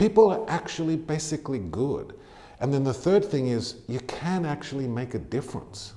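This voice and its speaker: Speaking with an American accent, a man has a dark, mellow tone, lively intonation and a somewhat breathy voice. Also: fairly high pitch for a man, moderate pace. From Australia (Tamworth, NSW). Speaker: charity CEO. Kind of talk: interview.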